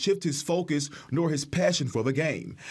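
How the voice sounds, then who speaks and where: Somewhat breathy male speech at a moderate pace with ordinary pitch variation. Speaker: TV news reporter. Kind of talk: TV news report.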